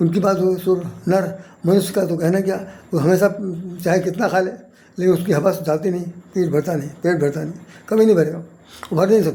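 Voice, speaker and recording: Speaking with fairly even intonation, a man has a high pitch. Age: 70s. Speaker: poet and spiritual commentator. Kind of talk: spiritual talk to camera. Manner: repetitive, halting.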